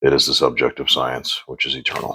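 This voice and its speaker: A man talks at a moderate pace. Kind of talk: philosophy reading.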